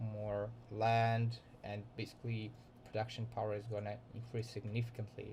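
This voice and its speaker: His intonation stays monotone and flat. The man's voice is somewhat breathy. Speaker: student. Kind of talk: class presentation. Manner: halting.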